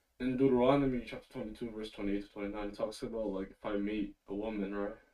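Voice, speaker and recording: Quietly and very fast, a man speaks in a flat monotone with a dark, mellow tone. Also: fairly low pitch for a man. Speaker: caller. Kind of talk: call-in debate. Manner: quiet, hard to understand; hesitant, filler-heavy.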